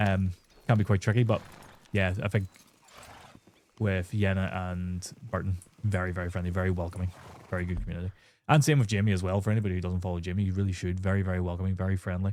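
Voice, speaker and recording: A man with a Northern Irish accent and a very deep, low pitch, talking at a very fast pace with fairly even intonation and long, frequent pauses. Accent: Northern Irish (Belfast). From Northern Ireland, Belfast. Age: 30s. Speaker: gaming streamer. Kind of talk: live stream chat while gaming.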